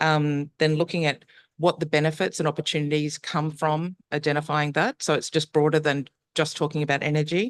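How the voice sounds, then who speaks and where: A speaker with an Australian accent talks at a fairly quick pace. The background is quiet. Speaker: urban energy researcher / panelist. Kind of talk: conference panel presentation. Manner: hesitant, many fillers (um).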